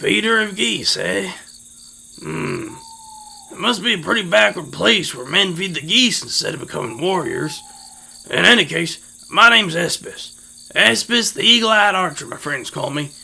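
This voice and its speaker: Putting on a raspy character voice, a man speaks at a moderate pace in a high pitch. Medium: read story. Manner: drawling, homespun.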